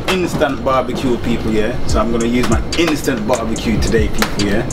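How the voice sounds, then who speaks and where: Music in the background behind a man speaking at a fairly quick pace. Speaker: cooking vlogger. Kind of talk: casual vlog chat. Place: train.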